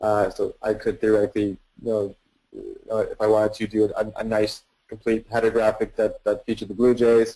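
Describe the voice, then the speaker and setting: A man's dark, mellow tone, fairly quick pace, and monotone, flat intonation. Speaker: software product presenter. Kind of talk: webinar product demo. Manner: fast; repetitive filler-heavy, stumbling.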